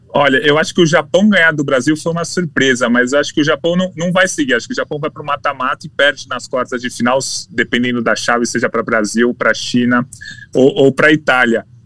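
Very fast speech with ordinary pitch variation over music in the background. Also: man, fairly high pitch for a man. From Brazil. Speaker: sports journalist. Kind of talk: casual chat. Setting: studio.

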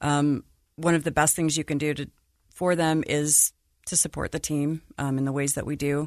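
With an American accent and a very deep, low pitch, a woman speaks at a moderate pace in a dry, close sound with no echo against a quiet background. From Utah, Salt Lake City. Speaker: financial advisor and booster club president. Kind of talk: casual chat.

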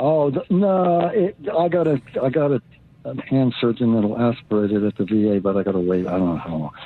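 Over noticeable background noise, a man with an American accent speaks at a moderate pace and medium pitch, with very wide pitch swings. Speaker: caller. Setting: phone call.

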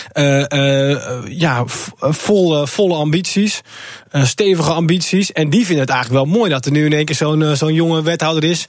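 A man with a plain, everyday voice speaks at a moderate pace, his fairly high pitch moving with ordinary variation and his loudness very even. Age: 20s. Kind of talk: radio interview.

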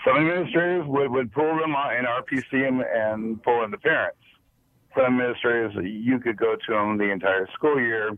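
In an American accent, a man with an unremarkable speaking voice talks at a moderate pace. His pitch is medium. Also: ordinary pitch variation. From Las Vegas, Nevada. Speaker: caller, retired school bus driver. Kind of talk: call-in radio chat.

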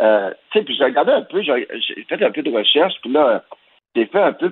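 A man with a Quebec accent talks at a moderate pace. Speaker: cultural journalist. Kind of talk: opinion commentary.

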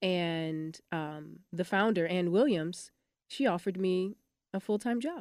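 A woman talks at a fairly slow pace with medium pitch and ordinary pitch variation. It is a plain, everyday voice. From Michigan, US Midwest (Detroit). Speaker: dance company artistic director. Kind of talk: interview.

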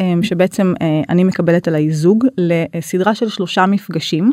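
Dark and mellow in tone, this voice proceeds at a moderate speed. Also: woman, dry, close sound with no echo. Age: 30s. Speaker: couples counselor and intimacy facilitator. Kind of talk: interview. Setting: studio.

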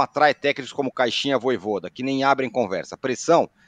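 Very fast speech from a man, dry and close with no echo, over a quiet background. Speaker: podcast host. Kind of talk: casual chat. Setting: video call.

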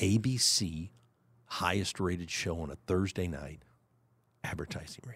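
A man with a very deep, low pitch, ordinary pitch variation, big swings in loudness, a moderate pace and long, frequent pauses. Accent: American. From Kansas City, Missouri, US Midwest. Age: 60s. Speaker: CEO of a historic landmark. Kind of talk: casual interview.

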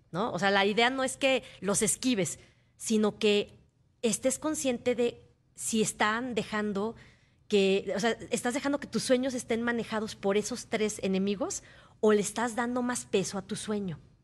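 A woman speaks in an ordinary speaking voice at a fairly slow pace, her pitch fairly high, against a quiet background. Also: ordinary pitch variation. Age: 40s. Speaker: motivational speaker. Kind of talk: interview. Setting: radio studio.

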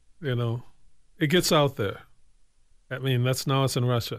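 On a very clean recording with a silent background, a man of medium pitch speaks at a moderate pace with ordinary pitch variation and long, frequent pauses. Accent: American. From Evanston, Illinois. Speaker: artist. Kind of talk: casual chat.

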